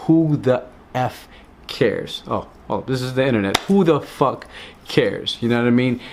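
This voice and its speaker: There is noticeable background noise as a man talks at a fairly slow pace, his medium-pitched voice showing ordinary pitch variation. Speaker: travel vlogger. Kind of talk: casual talk to camera.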